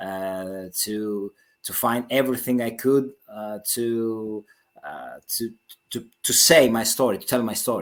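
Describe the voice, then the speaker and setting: This man's voice sits at a medium pitch, with fairly even intonation. He talks at a very slow pace. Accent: Greek. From Greece. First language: Greek. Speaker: author. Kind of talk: interview. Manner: halting, many repetitions.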